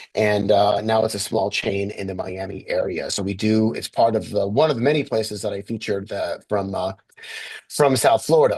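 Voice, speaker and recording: This man speaks with a fairly low pitch and ordinary pitch variation. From US Northeast, Westchester County, New York. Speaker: author and roadside history presenter. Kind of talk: slide presentation. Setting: video call. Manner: fast; halting with many fillers.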